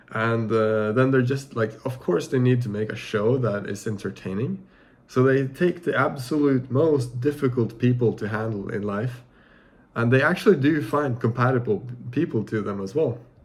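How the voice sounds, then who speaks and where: A man's somewhat breathy voice at a medium pitch. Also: ordinary pitch variation, moderate pace. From Norway. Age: 20s. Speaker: vlogger. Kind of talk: casual vlog monologue. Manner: halting, many fillers and restarts.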